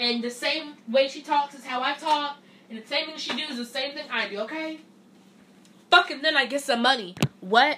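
Against noticeable background noise, a woman with a high pitch and ordinary pitch variation uses a raised, projected voice at a moderate pace, with long, frequent pauses and big swings in loudness. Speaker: solo podcast host. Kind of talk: casual chat. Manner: animated.

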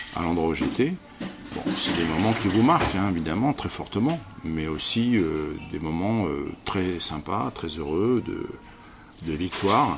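Over noticeable background noise, a man with a very deep, low voice speaks at a very slow pace with lively intonation. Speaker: theatre director and actor. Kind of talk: interview. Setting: busy public place. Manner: hesitant, with many fillers.

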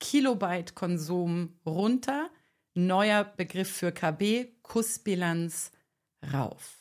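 This woman has a medium pitch, an animated tone and lively intonation. The recording is very clean, with a silent background. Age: 40s. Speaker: podcast host, digital detox coach. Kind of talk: solo podcast monologue. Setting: video podcast recording.

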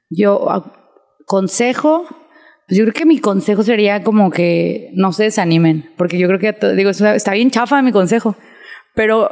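A woman with an ordinary speaking voice, fairly high in pitch, with ordinary pitch variation and a fairly quick pace. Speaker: fashion designer. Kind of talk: casual chat.

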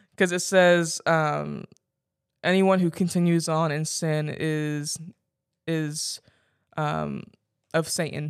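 In a very clean recording with a silent background, a woman with a very deep, low pitch speaks very slowly in a monotone, flat way with long, frequent pauses. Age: 20s. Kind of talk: casual chat.

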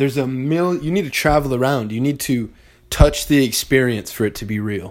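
A man with an American accent and an unremarkable speaking voice talks at a fairly quick pace in a medium pitch. His pitch varies in an ordinary way, on a very clean recording with a silent background. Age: 20s. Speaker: podcast host. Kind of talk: casual monologue.

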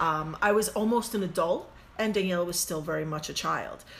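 With an American accent, a woman speaks at a fairly quick pace with ordinary pitch variation and audible room echo. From US. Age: 40s. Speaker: podcast co-host. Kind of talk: casual chat.

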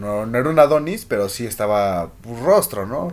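In an animated tone, the man speaks with very wide pitch swings. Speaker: podcast host. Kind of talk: casual chat.

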